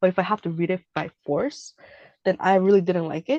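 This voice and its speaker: A woman's voice comes through dry and close, with no echo. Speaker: teacher. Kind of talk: one-on-one language lesson. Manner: casual, many fillers; slow for learner.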